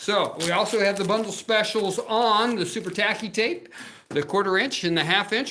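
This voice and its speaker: Over noticeable background noise, a man speaks at a moderate pace in a raised, projected voice with an animated tone. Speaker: crafting demo host. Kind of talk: live crafting show with sales pitch. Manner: loud.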